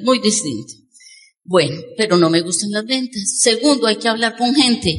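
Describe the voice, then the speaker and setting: Somewhat breathy, a woman talks at a moderate pace. Her pitch is fairly high, with ordinary pitch variation. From Colombia. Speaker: network marketing speaker. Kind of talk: motivational talk. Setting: stage with audience.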